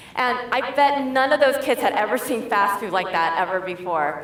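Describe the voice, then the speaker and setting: A woman's high-pitched voice with lively intonation at a moderate pace, plus audible room echo and noticeable background noise. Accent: General American. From US Midwest, suburb of Detroit, Michigan. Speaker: tech education director. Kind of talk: keynote speech. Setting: stage with audience.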